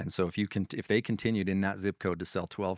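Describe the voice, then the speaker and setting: A man's very deep, low voice with an Idaho accent, in a dry, close sound with no echo. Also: very clean recording, silent background. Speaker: real estate software presenter. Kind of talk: product demo conversation. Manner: casual, repetitive restarts.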